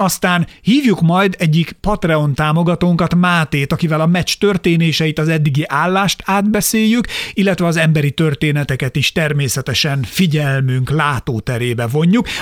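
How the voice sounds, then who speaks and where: Here is a man with a plain, everyday voice and fairly high pitch, speaking at a moderate pace with ordinary pitch variation. He takes hardly any pauses, and the sound is dry and close with no echo. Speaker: podcast co-host. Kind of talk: show outro; casual chat about basketball.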